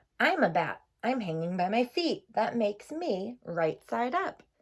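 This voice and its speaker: The pitch leaps around very widely. It's a put-on character voice. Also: woman, fairly high pitch for a woman, moderate pace. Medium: read story.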